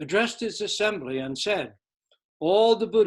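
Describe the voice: Quiet background, lively intonation, plain reading aloud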